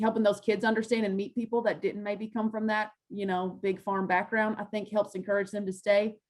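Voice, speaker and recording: With a Kentucky accent, a woman at medium pitch speaks at a fairly quick pace in a monotone, flat delivery. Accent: Kentucky Southern US. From western Kentucky. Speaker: farm organization field specialist. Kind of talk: panel presentation and Q&A. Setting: video call. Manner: fast.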